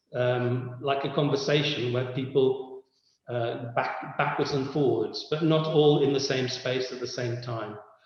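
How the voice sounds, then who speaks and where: A man speaks at a fairly slow pace with monotone, flat intonation. There is audible room echo. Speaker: lecturer. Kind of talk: lecture.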